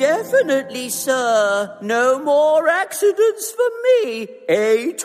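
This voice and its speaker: The speaker uses a put-on character voice at a very slow pace. Clear music sits in the background. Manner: silly, put-on; polite, apologetic.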